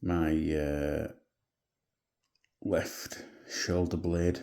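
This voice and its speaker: Quiet and in an English accent, a man speaks with a very deep, low pitch, a dark, mellow tone and flat, monotone intonation. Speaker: vlogger. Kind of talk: video diary. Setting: at home at night. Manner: quiet, hushed.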